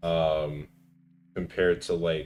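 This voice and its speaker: A man with a very deep, low pitch speaks in a relaxed tone. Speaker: streamer and aspiring voice actor. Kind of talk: casual chat while gaming. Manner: relaxed, many fillers.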